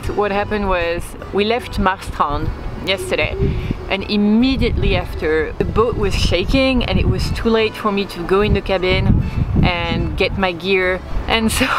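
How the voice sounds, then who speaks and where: Amid loud background noise, a woman speaks at a moderate pace in a dry sound with no echo. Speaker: sailing vlogger. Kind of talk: casual vlog chat. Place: waterside. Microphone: phone near.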